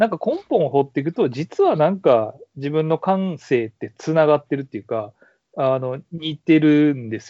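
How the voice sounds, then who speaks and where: An unremarkable speaking voice at a moderate pace, with lively intonation. Its loudness swings widely. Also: man, fairly high pitch for a man. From Kansai, Nara city. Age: 30s. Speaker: university professor. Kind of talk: casual interview. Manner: laughs often.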